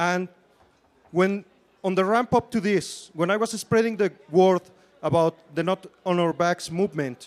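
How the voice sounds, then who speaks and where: A fairly slow pace with long, frequent pauses and ordinary pitch variation. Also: man, high pitch for a man. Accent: Spanish. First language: Spanish. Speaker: student election candidate. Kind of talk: campaign debate speech. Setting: stage with audience.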